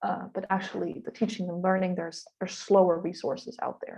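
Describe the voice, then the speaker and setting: This woman's voice has a dark, mellow tone and is somewhat breathy. Its pitch is medium. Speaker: webinar presenter, linguistics researcher. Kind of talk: tutorial. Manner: fast.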